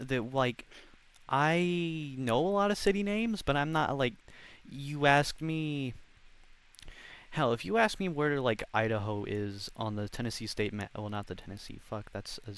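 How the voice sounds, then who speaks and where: With a normal speaking voice, a man talks at a moderate pace and medium pitch, his intonation lively. The recording is very clean, and the background is silent. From United States. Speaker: podcast host. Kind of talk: casual chat.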